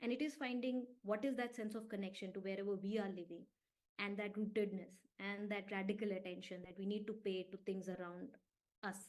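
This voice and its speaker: A woman speaks at a fairly quick pace in a medium pitch, her intonation fairly even. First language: an Indian language, not English. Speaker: environmental researcher and speaker. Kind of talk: online talk with slides. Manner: hesitant, many fillers and restarts.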